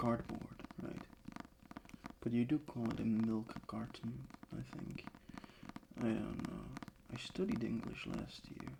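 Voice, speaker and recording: Amid noticeable background noise, a man talks very slowly with long, frequent pauses. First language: not English. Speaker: ASMR creator. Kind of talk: casual ASMR chat. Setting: bedroom desk. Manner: halting.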